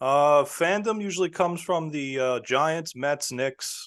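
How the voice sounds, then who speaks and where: A man with a New York accent speaks at a fairly slow pace, his pitch fairly high with ordinary variation. The background is quiet. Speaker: sports podcaster. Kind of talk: casual chat.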